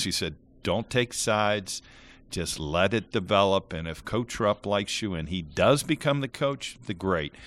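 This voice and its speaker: Recorded very cleanly with a silent background, a man with an American accent and a plain, everyday voice speaks at a moderate pace and a fairly low pitch, with lively intonation. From Ohio. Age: 60s. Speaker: former college basketball player. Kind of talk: interview.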